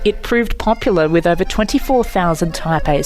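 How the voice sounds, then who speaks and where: Someone with an Australian accent speaks at a moderate pace with music in the background. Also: woman. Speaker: voice-over artist. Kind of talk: podcast narration.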